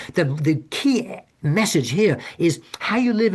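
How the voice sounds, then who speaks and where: A man with a somewhat breathy voice makes very wide pitch swings against a quiet background. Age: 70s. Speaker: author and hospice volunteer speaking on death. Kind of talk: webinar presentation. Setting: Zoom webinar. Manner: halting, many repetitions and restarts.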